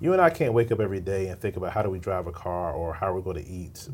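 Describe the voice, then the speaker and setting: The speaker is a man with an American accent. He talks very fast. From Virginia, Richmond. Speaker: pastor and ministry founder. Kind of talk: interview.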